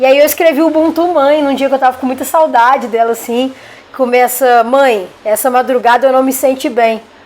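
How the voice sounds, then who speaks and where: Here a woman with a Minas Gerais accent speaks at a high pitch and a moderate pace. Noticeable background noise runs behind her. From Minas Gerais, Brazil. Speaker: rapper and poet. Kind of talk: interview.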